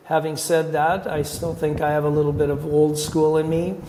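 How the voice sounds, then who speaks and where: Amid audible room echo, a man with a Canadian accent speaks at a fairly high pitch and a fairly slow pace. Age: 60s. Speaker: hockey general manager. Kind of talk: interview.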